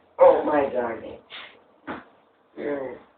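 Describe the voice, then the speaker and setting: A man uses a put-on character voice at a fairly high pitch. There is a slight echo. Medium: voice reel.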